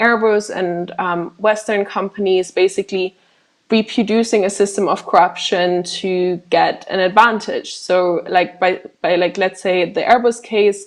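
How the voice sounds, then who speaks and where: A woman talks at a moderate pace with medium pitch and fairly even intonation. The background is quiet. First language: not English. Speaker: arms trade corruption researcher, co-founder of a watchdog group. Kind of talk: Q&A after a presentation.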